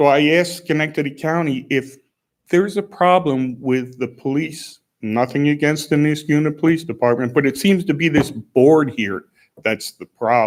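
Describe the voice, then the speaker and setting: Delivered at a moderate pace, an ordinary speaking voice uses ordinary pitch variation. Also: man, fairly high pitch for a man. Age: 60s. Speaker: resident speaking at public comment. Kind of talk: public comment at town board meeting. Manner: agitated, complaining.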